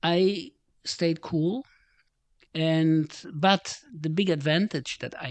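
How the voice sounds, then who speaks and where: A man is speaking here. His voice is fairly high, with a German accent. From Germany. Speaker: retired business executive. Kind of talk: casual chat. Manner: halting.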